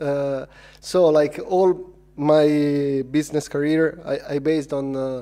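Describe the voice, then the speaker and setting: A man with a non-native accent speaks at a very slow pace in a monotone, flat intonation. His fairly high voice has a dark, mellow tone. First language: not English. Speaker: filmmaker and VR producer. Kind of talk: conference talk. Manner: halting, many fillers.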